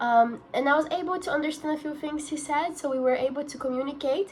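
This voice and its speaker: Against noticeable background noise, a woman with a Portuguese accent talks at a fairly quick pace in a high voice with ordinary pitch variation. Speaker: university student. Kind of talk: student video presentation.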